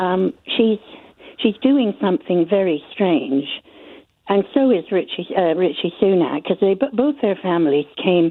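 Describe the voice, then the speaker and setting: Her medium pitch swinging very widely, a woman speaks at a fairly slow pace with very even loudness. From Canada. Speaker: caller. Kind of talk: radio phone-in call. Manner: halting.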